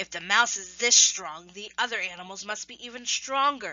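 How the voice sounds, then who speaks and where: A growling, put-on character voice at a moderate pace. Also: woman, fairly high pitch for a woman. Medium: read story. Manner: boastful.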